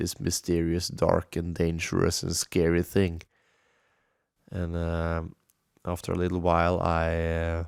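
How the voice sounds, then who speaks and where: A Norwegian accent with monotone, flat intonation, a fairly slow pace and long, frequent pauses, on a very clean recording with a silent background. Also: man, very deep, low pitch for a man. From Norway, Halden. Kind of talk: casual solo monologue. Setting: home studio, bomb shelter. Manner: hesitant, many fillers.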